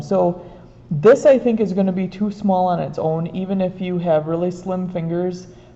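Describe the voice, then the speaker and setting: A woman at medium pitch and a fairly quick pace, with ordinary pitch variation. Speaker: art teacher. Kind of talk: tutorial. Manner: trying to talk quietly. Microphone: room echo.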